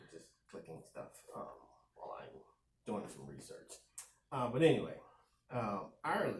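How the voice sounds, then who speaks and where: A man speaks at a moderate pace with long, frequent pauses. His loudness swings widely, and the room echo is audible. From United States. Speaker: podcast co-host. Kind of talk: casual chat.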